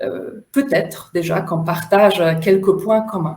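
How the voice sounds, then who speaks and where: A woman with a Polish accent speaks very slowly in a dark, mellow tone. Room echo is audible. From Poland. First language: Polish (speaking French). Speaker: facilitator and trainer. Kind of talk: online workshop talk. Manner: loud, smiling delivery.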